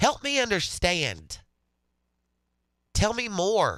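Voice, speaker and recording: Against a silent background in a very clean recording, a man's bright, sharp voice moves through very wide pitch swings. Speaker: radio host. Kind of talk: casual chat.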